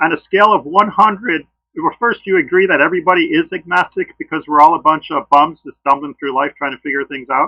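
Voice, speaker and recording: A man talks at a very fast pace with a high pitch. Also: ordinary pitch variation. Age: old. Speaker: creationist debater, engineer. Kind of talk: debate discussion.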